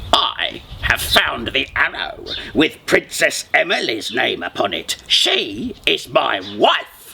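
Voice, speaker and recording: A man speaks very slowly in a put-on character voice. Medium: read story.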